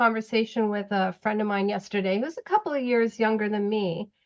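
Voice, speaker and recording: In an ordinary speaking voice, a woman speaks at a fairly high pitch, with ordinary pitch variation. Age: 60s. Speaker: retired public servant and tarot reader. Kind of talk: interview.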